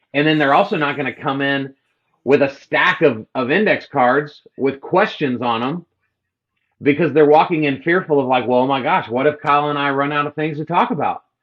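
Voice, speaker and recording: The pitch varies in an ordinary way. The voice comes with a Texan accent. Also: man, fairly high pitch for a man. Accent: Texan drawl. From Texas. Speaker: real estate agent and social media coach. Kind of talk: podcast interview.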